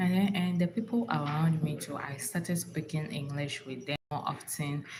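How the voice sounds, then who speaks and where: A woman with a Ghanaian accent speaks at a very deep, low pitch with ordinary pitch variation over noticeable background noise. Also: moderate pace. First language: Ga. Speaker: relationship advice vlogger. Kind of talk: casual livestream talk. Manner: animated; halting.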